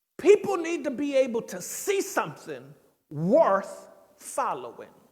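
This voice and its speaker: Amid audible room echo, a man talks at a fairly slow pace, his loudness swinging widely. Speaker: pastor. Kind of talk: bible study teaching. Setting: church.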